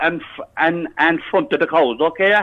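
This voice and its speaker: In a Cork accent, a man speaks at a fairly slow pace with ordinary pitch variation. His tone is angry. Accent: Irish, Cork. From Ireland. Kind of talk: prank call victim on phone. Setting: phone line. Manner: angry, agitated.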